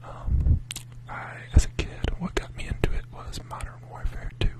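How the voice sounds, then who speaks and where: The speaker whispers. Behind the voice is noticeable background noise. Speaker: ASMR creator. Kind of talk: ASMR rambling chat. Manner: whispering.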